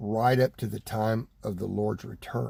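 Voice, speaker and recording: A man in an American accent, medium pitch, somewhat breathy and dark, mellow in tone, with fairly even intonation, in a very clean recording with a silent background. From Texas. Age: 60s. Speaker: preacher. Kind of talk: sermon. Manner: halting, with repetitions.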